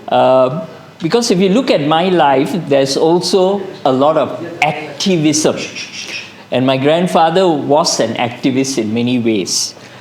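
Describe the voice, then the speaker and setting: A man's fairly high, lively voice at a fairly slow pace, with audible room echo and noticeable background noise. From Malaysia, Kedah. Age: 60s. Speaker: psychiatrist. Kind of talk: testimony.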